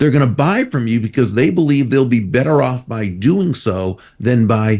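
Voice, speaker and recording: Over a quiet background, a man in a plain, everyday voice talks at medium pitch and a moderate pace with lively intonation. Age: 60s. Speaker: author and speaker. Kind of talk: interview.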